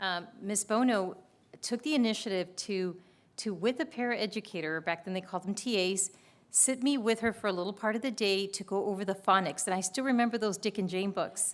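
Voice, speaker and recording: Speaking in an unremarkable voice with an American accent, a woman keeps a fairly quick pace at medium pitch with ordinary pitch variation. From US, Spanish-speaking family. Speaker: school district administrator. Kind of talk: committee meeting introductions.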